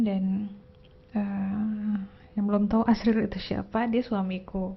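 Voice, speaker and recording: A woman speaks at a fairly slow pace with fairly even intonation. Her voice is somewhat breathy. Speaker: tarot reader vlogger. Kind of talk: casual personal vlog. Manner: low-energy.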